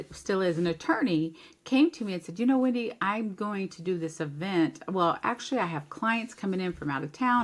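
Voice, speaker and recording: A woman's normal speaking voice at medium pitch, with lively intonation and a fairly quick pace. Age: 60s. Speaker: life coach and event planner. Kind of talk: podcast interview.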